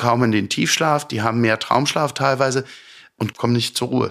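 A fairly brisk delivery in an ordinary speaking voice, a man's, mid-pitched and with normal pitch movement. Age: 50s. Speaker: sleep medicine physician. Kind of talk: interview. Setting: his practice.

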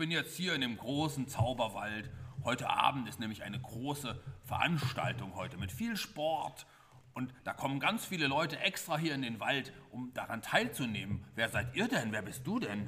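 Noticeable background noise surrounds a man speaking at a moderate pace. His medium-pitched voice has lively intonation. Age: 40s. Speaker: narrator of children's story play. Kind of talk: improvised children's radio play, interviewing characters. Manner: animated.

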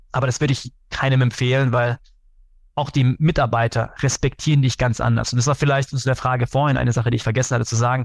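Very fast and somewhat breathy, a man talks at a medium pitch in a flat monotone with very even loudness. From Germany, Karlsruhe. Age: 30s. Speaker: sales executive. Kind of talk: interview. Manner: hesitant with many fillers.

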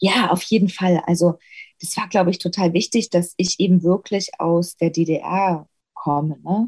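A woman's fairly low, somewhat breathy voice with fairly even intonation, at a fairly slow pace, in a dry, close sound with no echo. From Saxony, Erzgebirge (Stollberg). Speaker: actress. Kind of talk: interview conversation.

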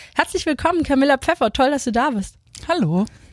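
A woman talks at a very fast pace in a high voice with lively intonation. The sound is dry and close, with no echo. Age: 30s. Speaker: podcast host, former handball player. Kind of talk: casual interview.

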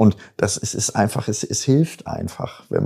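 A man with a dark, mellow tone and a fairly low pitch talks at a moderate pace. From Germany, Bielefeld (Jöllenbeck). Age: 50s. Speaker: musician and agency owner. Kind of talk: casual interview.

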